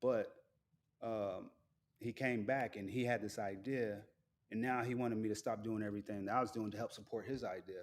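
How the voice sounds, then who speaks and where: The speaker talks at a fairly quick pace in a monotone, flat intonation. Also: man, medium pitch for a man. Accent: American. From US Southwest (Phoenix). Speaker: military veteran and sports media business owner. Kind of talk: casual solo livestream chat. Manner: soft-spoken; rambling casual.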